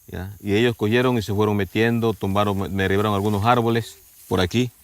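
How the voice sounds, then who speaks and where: Speaking at a moderate pace, a man uses a fairly low pitch. The recording is very clean, with a silent background. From Ecuador. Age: 60s. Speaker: farmer. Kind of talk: documentary interview testimony.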